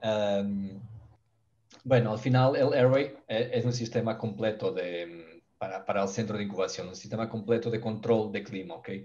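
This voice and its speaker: A man with a Portuguese accent has a dark, mellow tone, medium pitch and fairly even intonation. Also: moderate pace, big swings in loudness. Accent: Portuguese accent in Spanish, noticeable. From Portugal. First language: Portuguese (speaking Spanish). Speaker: poultry ventilation expert. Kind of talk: webinar presentation. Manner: halting, with fillers and self-corrections.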